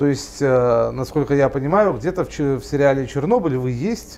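A man speaks at a moderate pace in a plain, everyday voice. His intonation is lively. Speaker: online news founder and interviewer; online news founder, interviewer. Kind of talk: interview. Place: cafe.

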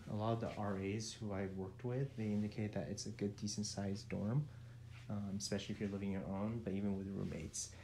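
Talking at a very fast pace, a man with a fairly low pitch sounds somewhat breathy, his intonation fairly even over light background noise. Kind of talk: casual vlog tour narration. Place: home room. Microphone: phone near.

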